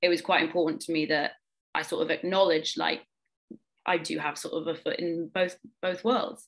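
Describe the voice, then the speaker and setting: A woman with an English accent speaks at a fairly quick pace, her pitch fairly low and its variation ordinary. Long pauses come often. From London, England. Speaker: playwright and actor. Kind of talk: interview.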